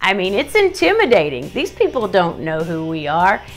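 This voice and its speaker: A woman talks at a moderate pace while faint music sounds behind her. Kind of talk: tutorial. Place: home room. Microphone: phone near.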